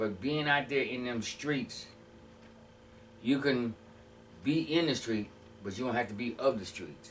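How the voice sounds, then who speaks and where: With an American accent, a man speaks at a medium pitch with ordinary pitch variation. His pauses are long and frequent. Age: 60s. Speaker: former prisoner sharing life story. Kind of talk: interview testimony. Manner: halting.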